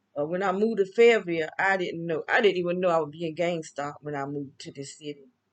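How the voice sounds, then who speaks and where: With a Southern US accent, a woman rattles along at a very fast pace with hardly any pauses, her fairly low voice showing ordinary pitch variation and big swings in loudness. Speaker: vlogger. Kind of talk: casual monologue. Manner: halting.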